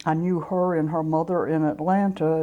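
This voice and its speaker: A woman speaks with a Southern US accent in a very deep, low pitch and a dark, mellow tone. Her intonation stays fairly even, and the background is quiet. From US South, South Georgia. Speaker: civil rights activist. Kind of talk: interview.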